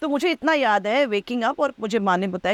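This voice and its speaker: At a moderate pace, the voice moves with lively intonation in a dry, close sound with no echo. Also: woman. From Delhi, India (Bengali family). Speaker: actress. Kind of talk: casual interview chat. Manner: loud laugh.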